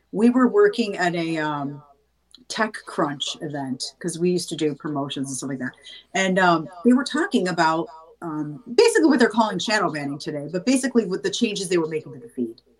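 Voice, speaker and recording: Moving at a fairly quick pace, a woman with a fairly low voice makes very wide pitch swings. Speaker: singer and actress. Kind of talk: casual interview chat. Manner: casual, chatty.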